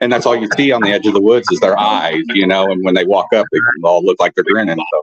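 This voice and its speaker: A man talks very fast at a very even loudness, in a dry, close sound with no echo. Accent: southern Illinois. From Southern Illinois. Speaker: film director. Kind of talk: interview.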